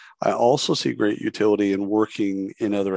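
An unremarkable speaking voice at a fairly quick pace, fairly even in intonation, with a dry, close sound with no echo and a quiet background. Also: man. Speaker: podcast host. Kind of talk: interview.

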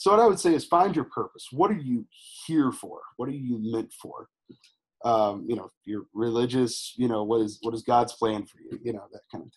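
In a Texan accent, a man of medium pitch talks at a moderate pace with lively intonation and big swings in loudness. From Texas, Houston. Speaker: former teacher, tour business owner. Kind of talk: interview.

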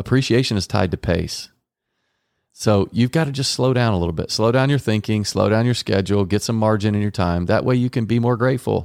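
A man with a fairly low pitch and an unremarkable speaking voice talks at a fairly quick pace with ordinary pitch variation and very even loudness, on a very clean recording with a silent background. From Texas, Garland. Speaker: marriage podcast host. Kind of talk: casual chat.

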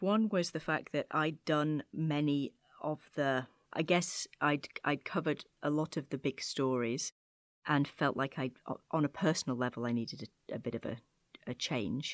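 A woman's very deep, low voice with a British accent, moderate pace, dry and close with no echo, on a very clean recording with a silent background. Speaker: creative agency head, former journalist. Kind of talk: interview.

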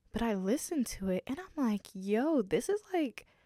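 A woman speaks at a moderate pace with ordinary pitch variation in a plain, everyday voice. The recording is very clean, with a silent background and a dry, close sound with no echo. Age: 20s. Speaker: podcast host. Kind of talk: solo podcast monologue. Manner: casual, chatty.

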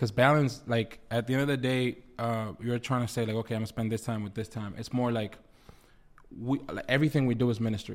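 A man speaks at a very fast pace. His pitch is medium and his intonation fairly even. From Dominican Republic. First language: Spanish. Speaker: recording artist and producer. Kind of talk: casual interview chat.

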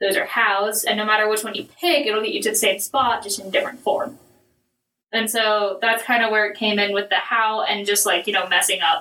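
A woman speaks in an unremarkable speaking voice at a fairly high pitch. Her pace is fairly quick, with ordinary pitch variation. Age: 20s. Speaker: guest sharing faith reflection. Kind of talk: casual chat. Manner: casual.

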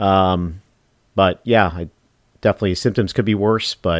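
A man's very deep, low voice in an animated tone, on a very clean recording with a silent background. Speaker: podcast host. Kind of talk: casual chat. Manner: animated, jokey.

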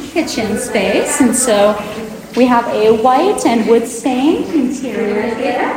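Amid audible room echo and noticeable background noise, a woman with an American accent speaks at a high pitch and a very slow pace. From Colorado, US. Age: young. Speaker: interior designer. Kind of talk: guided home tour. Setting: active construction site.

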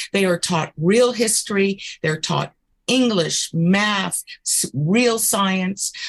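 Her medium-pitched, somewhat breathy voice moves at a very slow pace. The woman's sound is dry and close, with no echo. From US South. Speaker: political candidate. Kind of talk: interview.

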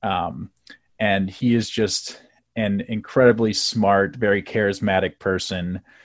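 In a normal speaking voice, a man with an American accent talks fairly slowly at a fairly low pitch with fairly even intonation, on a very clean recording with a silent background. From US Midwest (South Bend, Indiana). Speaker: nonprofit relationship manager, former campaign staffer. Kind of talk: casual interview.

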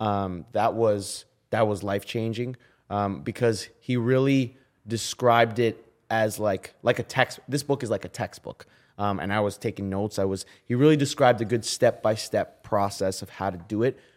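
Heard in a very clean recording with a silent background, a man with a Canadian accent and a plain, everyday voice talks at a moderate pace, with a fairly low pitch and ordinary pitch variation. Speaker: musician. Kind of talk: casual chat.

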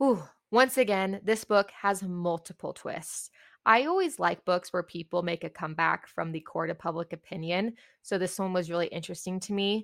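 The recording is very clean, with a silent background and a dry, close sound with no echo. A woman with an unremarkable speaking voice talks at a moderate pace in a medium pitch with ordinary pitch variation. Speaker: podcast host reviewing books. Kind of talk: casual solo book review monologue.

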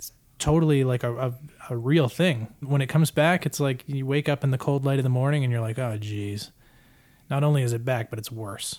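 Here a man speaks in a normal speaking voice of medium pitch. His pace is fairly quick, with ordinary pitch variation. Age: 30s. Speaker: podcast host and producer. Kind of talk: casual chat.

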